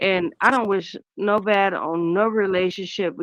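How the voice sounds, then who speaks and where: A woman with an unremarkable speaking voice talks at a medium pitch with ordinary pitch variation, recorded with a dry, close sound with no echo against a quiet background. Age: 30s. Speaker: caller on a watch party livestream. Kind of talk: casual chat.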